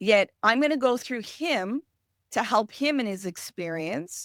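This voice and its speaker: A woman with a French Canadian accent speaks at a fairly slow pace with ordinary pitch variation, recorded very cleanly against a silent background in a dry, close sound with no echo. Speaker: emotional healing specialist; parent. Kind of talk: podcast interview.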